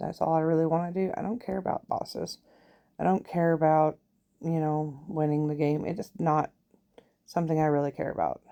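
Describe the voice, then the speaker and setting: At a fairly slow pace, a woman with a fairly low pitch speaks in a relaxed tone with fairly even intonation. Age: 40s. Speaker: gaming YouTuber. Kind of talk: casual let's-play commentary. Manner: relaxed, thinking aloud with hesitations.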